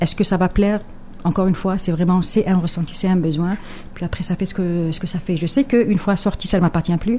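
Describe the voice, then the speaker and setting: With an Algerian accent, a woman speaks at medium pitch and a fairly quick pace, her tone dark and mellow and her intonation fairly even. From Algeria, Kabyle. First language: Kabyle (speaking French). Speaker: poet and writer. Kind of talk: radio interview. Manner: hesitant, many fillers and repetitions.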